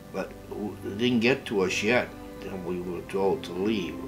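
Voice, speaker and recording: Music plays behind a man who talks at a very slow pace. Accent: American. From Massachusetts, USA. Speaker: World War 2 navy veteran. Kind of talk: interview answer.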